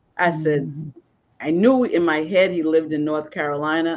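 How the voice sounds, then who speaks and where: This is a plain, everyday voice with an American accent, moving at a moderate pace. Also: woman. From Boston. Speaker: podcast host. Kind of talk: casual chat.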